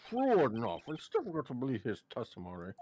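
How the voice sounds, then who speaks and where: A put-on character voice at a low-to-middle pitch, delivered at a very fast pace. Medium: game stream.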